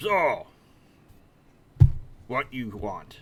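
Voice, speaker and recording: A man puts on a character voice at medium pitch. It comes out raspy. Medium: actual play. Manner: blunt, terse, possessive.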